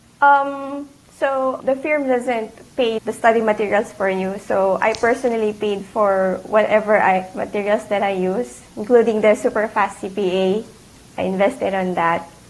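A woman speaks with a Filipino accent at a fairly slow pace. Her voice sits fairly high and shows ordinary pitch variation. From Philippines. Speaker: CPA exam candidate, accountant. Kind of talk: casual interview.

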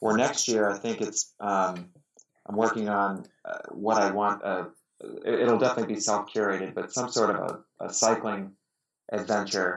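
In an American accent, the speaker keeps a monotone, flat intonation at a moderate pace. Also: man, fairly low pitch for a man. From US, Pittsburgh. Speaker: amateur endurance athlete. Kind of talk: casual interview conversation.

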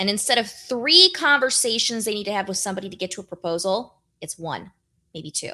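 A woman talks fairly quickly in a bright, sharp tone, her intonation lively and her loudness swinging widely. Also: medium pitch for a woman. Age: 30s. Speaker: brand strategist and author. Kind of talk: interview.

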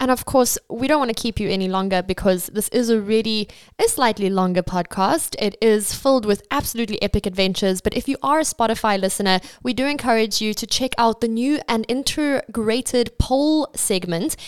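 A woman with a normal speaking voice talks at a fairly quick pace with hardly any pauses, her fairly high pitch showing ordinary variation, in a very clean, dry, close recording with no echo and a silent background. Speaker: podcast interviewer. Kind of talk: interview.

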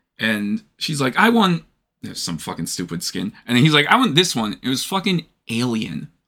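Medium-pitched male voice with very wide pitch swings, a bright, sharp tone and vocal fry, at a moderate pace. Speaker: podcast host. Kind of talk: casual chat. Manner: casual, swears often.

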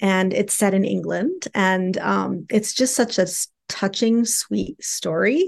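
A woman at a very slow pace, with very even loudness. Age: 50s. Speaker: sex therapist, social worker. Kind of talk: casual interview chat.

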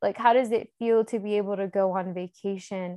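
A woman speaks in an unremarkable speaking voice. Her pace is fairly slow and her intonation fairly even. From North Carolina. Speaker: outdoor educator and climber. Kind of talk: interview.

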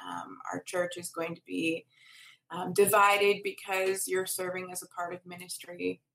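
A woman with an American accent speaks fairly slowly in a bright, sharp tone, her intonation monotone and flat. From Minnesota. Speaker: pastor. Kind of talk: casual chat.

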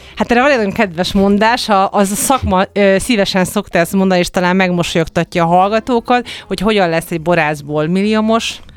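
A woman at medium pitch, very fast pace, very even loudness and ordinary pitch variation. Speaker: winemaker and wine expert. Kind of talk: radio interview.

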